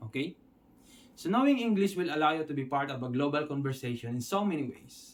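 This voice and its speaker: Talking at a fairly quick pace, a man with a Filipino accent uses a fairly high pitch and lively intonation. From Philippines. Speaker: online English teacher. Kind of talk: tutorial.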